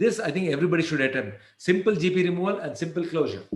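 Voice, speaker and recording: A man with a high pitch, plus audible room echo. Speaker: endodontist lecturer. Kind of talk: lecture. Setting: webinar. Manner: fast.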